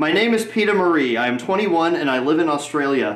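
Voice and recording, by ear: A man talks at a fairly quick pace and fairly high pitch, with lively intonation. Strong room echo surrounds his voice.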